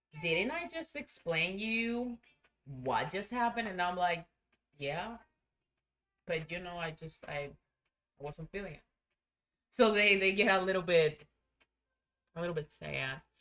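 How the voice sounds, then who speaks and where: A woman with a Spanish accent speaks fairly slowly at a medium pitch, with lively intonation, big swings in loudness and long, frequent pauses. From Venezuela. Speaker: streamer. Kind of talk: casual chat. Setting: live stream.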